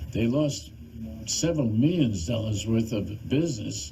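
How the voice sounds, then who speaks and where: With an American accent, a man talks in a lively intonation while audible room echo surrounds him. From US South. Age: 80s+. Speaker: channel host, activist commentator. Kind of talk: monologue appeal to viewers. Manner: halting.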